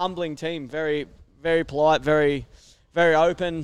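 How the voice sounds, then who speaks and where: A fairly high-pitched man's voice with an Australian accent. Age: 30s. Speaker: motocross racer. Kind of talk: casual interview. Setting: outdoor event tent, live over PA.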